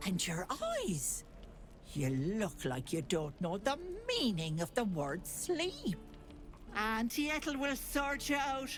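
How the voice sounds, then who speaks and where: A put-on character voice moves at a fairly slow pace over clear music in the background. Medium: video game.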